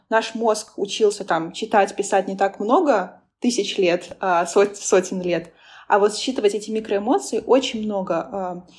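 The woman's fairly high pitch varies in an ordinary way on a very clean recording with a silent background. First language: not Russian (speaking Russian). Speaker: business analytics consultant and lecturer. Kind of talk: casual interview.

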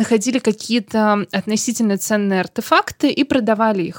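This woman has a fairly high pitch, ordinary pitch variation and an unremarkable speaking voice, talking at a fairly quick pace. The sound is dry and close with no echo, on a very clean recording with a silent background. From Saint Petersburg, Russia. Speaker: local historian and blogger. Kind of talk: interview. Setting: studio.

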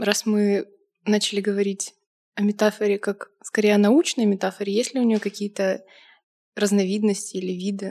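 The voice is dark and mellow, with monotone, flat intonation at a moderate pace. Long, frequent pauses break it up, in a dry, close sound with no echo. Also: woman, medium pitch for a woman. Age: 20s. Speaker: university student. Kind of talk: casual chat.

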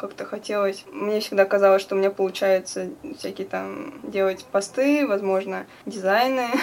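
Here is a woman with a plain, everyday voice. Her pitch is medium and her pace fairly slow. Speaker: student activist. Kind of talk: interview.

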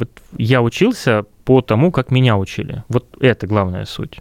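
In a plain, everyday voice, a man speaks at a moderate pace and medium pitch with ordinary pitch variation, the sound dry and close with no echo. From Russia, Kurgan. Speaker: music school founder and music teacher. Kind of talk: casual interview.

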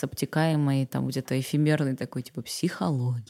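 On a very clean recording with a silent background and a dry, close sound with no echo, a woman speaks in a dark, mellow tone with ordinary pitch variation. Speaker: dubbing actress. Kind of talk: casual interview chat.

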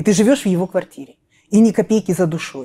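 This woman's voice has a dark, mellow tone and sits at medium pitch. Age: 40s. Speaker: women's mentor on weight loss and finances. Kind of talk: interview, personal life story.

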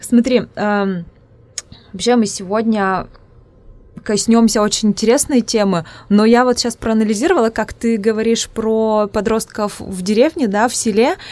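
A woman with an Udmurtian accent, fairly high-pitched with ordinary pitch variation, at a fairly slow pace with long, frequent pauses, on a very clean recording with a silent background. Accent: Udmurt accent in Russian. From Udmurtia, Russia. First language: Udmurt (speaking Russian). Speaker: psychologist and podcast host. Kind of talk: casual interview.

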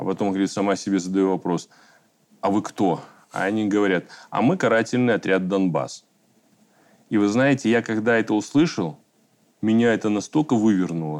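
In a quiet background, a man with a fairly low pitch speaks at a moderate pace with ordinary pitch variation and long, frequent pauses. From Belarus. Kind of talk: panel discussion.

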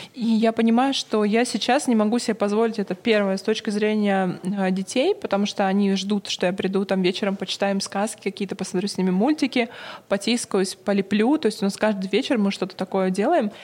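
A woman's normal speaking voice at medium pitch, fairly even in intonation, fairly quick in pace, and very even in loudness. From Russia, Novosibirsk. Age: 40s. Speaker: PR agency founder. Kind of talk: interview.

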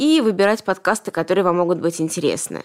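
Using an ordinary speaking voice, a woman talks at a fairly quick pace with fairly low pitch and ordinary pitch variation. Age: 30s. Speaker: podcast host, business owner. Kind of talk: sponsor read; casual interview.

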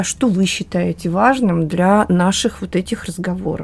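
A woman speaks at a medium pitch with ordinary pitch variation. Her voice is somewhat breathy, and her pace is moderate. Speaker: expert on family education. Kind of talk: panel discussion.

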